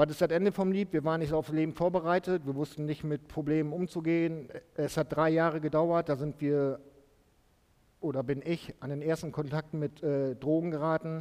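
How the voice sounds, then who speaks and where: Against a quiet background, a man with a fairly high, dark, mellow voice speaks at a moderate pace in a flat monotone. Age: 40s. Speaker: former drug addict giving testimony. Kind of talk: testimony in church. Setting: church service. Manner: halting, many fillers.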